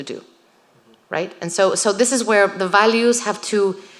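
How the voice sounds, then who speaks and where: A woman with a Spanish accent at a moderate pace. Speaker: writer. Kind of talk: Q&A after a lecture.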